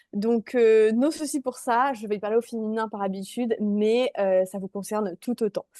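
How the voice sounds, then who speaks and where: A woman with a fairly high pitch and a dark, mellow tone is recorded dry and close with no echo against a quiet background. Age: 20s. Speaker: mindset coach. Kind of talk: online workshop presentation.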